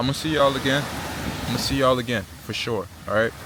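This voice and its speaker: A man with an American accent speaks at a medium pitch over noticeable background noise. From Virginia Beach, Virginia, US. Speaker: travel vlogger. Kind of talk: casual vlog monologue. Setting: eating while filming. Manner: animated, conversational.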